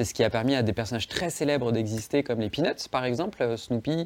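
This is an ordinary speaking voice. The pitch variation is ordinary. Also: man. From Savoie, France (Chambéry). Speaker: comics author and illustrator. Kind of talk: interview.

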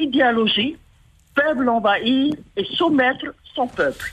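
Pausing long and often, a woman with a high pitch speaks at a very slow pace. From Tuamotu, French Polynesia. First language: Tahitian (speaking French). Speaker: caller. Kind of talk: call-in.

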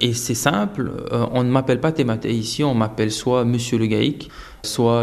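Noticeable background noise runs under the recording. A man speaks at a medium pitch with ordinary pitch variation. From French Polynesia (Tahiti). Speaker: interviewee. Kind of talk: interview. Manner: halting, with repetitions.

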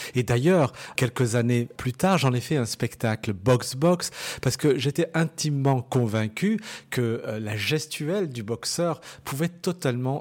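A man talks at a very slow pace with a medium pitch. The recording is very clean, and the background is silent. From France, Lyon area (Bron). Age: 40s. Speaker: dancer and choreographer. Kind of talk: interview. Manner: hesitant, repeats words.

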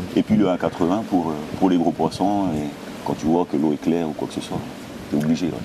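Over noticeable background noise, a man with a very deep, low voice talks fairly quickly with fairly even intonation and long, frequent pauses. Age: 40s. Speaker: spearfisherman. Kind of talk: interview. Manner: halting.

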